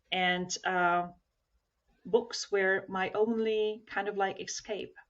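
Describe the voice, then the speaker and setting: With a Slovak accent, a woman speaks at medium pitch with ordinary pitch variation. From Slovakia (former Czechoslovakia). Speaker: self-development trainer. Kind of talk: podcast interview.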